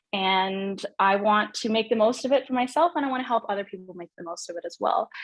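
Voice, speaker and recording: Talking very fast with a Canadian accent, a woman with a fairly high pitch uses lively intonation and big swings in loudness, recorded dry and close with no echo. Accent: Canadian, noticeable in UK. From Canada, Vancouver. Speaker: well-being coach. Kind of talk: casual interview chat.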